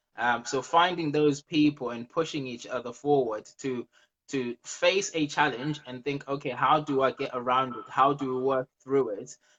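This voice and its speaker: A man speaks at a fairly high pitch and a moderate pace. His intonation stays fairly even. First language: not English. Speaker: property investor. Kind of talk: interview.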